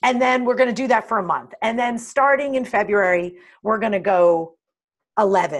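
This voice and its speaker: A woman with a fairly high voice speaks at a moderate pace. Her tone is animated, and her pitch varies in an ordinary way. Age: 40s. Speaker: life and executive coach, author. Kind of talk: interview.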